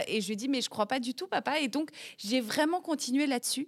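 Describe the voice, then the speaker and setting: A woman at a fairly quick pace, animated in tone, with ordinary pitch variation and a dry, close sound free of echo. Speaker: head of national Eurovision delegation and TV executive. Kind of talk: interview.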